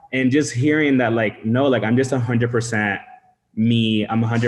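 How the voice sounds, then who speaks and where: The speaker is a man with a Venezuelan accent. His intonation stays fairly even. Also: very even loudness. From Venezuelan-Dominican family. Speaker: meetup participant. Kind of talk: online group discussion.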